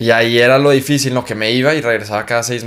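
Unremarkable male speaking voice, fairly quick in pace, with fairly even intonation. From Mexico, Chihuahua. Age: young. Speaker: singer. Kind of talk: casual interview.

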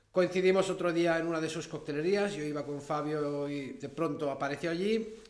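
A man with a fairly high voice talks at a moderate pace, with ordinary pitch variation and hardly any pauses. Audible room echo and noticeable background noise fill the recording. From Andorra. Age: 30s. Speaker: tile collector and museum founder. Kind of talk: interview. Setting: recording at his museum space. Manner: halting.

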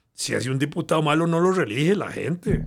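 The recording is very clean with a silent background. A man with vocal fry speaks at a moderate pace with ordinary pitch variation. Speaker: historian. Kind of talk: interview, explanatory history talk.

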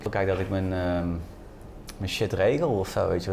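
This man has an ordinary speaking voice, fairly low in pitch. He talks at a fairly quick pace. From Netherlands, North Brabant. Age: 20s. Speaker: lunchroom owner. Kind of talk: casual chat. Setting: restaurant.

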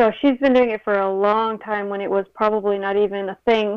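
A woman speaks in an unremarkable speaking voice at a fairly quick pace. Her pitch is fairly high and her intonation fairly even. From New York and Uruguay. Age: 30s. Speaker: spiritual reader. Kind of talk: casual interview.

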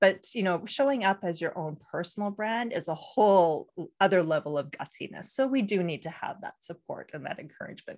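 In an ordinary speaking voice, the speaker moves at a fairly quick pace with hardly any pauses, lively intonation and big swings in loudness, on a very clean recording with a silent background. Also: woman, medium pitch for a woman. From Canada. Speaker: brand designer and strategist, podcaster. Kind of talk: casual interview chat.

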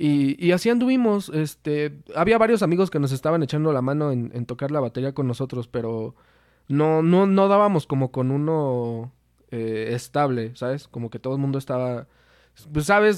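A man with a central Mexican accent talks at a moderate pace in a fairly high pitch with lively intonation, in a very clean recording with a silent background. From Mexico, Toluca. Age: 20s. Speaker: singer in a band, marketing student. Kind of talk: casual chat. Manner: halting, frequent repetitions.

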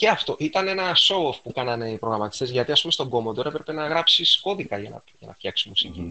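The man talks at a very fast pace with hardly any pauses, his medium-pitched voice showing vocal fry and very wide pitch swings. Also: big swings in loudness. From Piraeus, Greece. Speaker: retro computing enthusiast. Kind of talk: casual chat.

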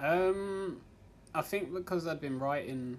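With an English accent, a man talks at a fairly slow pace amid audible room echo. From England. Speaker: amateur stand-up comedian. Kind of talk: stand-up; casual interview. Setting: comedy club stage with audience.

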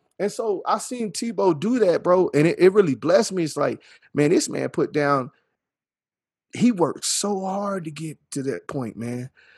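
A man's animated, lively-intoned voice at a moderate pace, over a quiet background. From Texas Panhandle (Earth, Texas). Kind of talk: casual chat.

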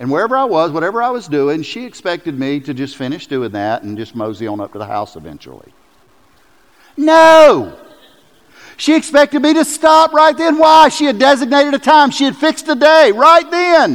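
Big swings in loudness mark a man's speech, delivered at a moderate pace. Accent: Southern US. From US South. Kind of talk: sermon. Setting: church. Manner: animated.

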